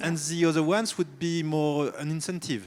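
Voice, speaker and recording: With a slight French accent, a man speaks at a fairly high pitch. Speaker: company CEO, panelist. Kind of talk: panel discussion. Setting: stage with audience.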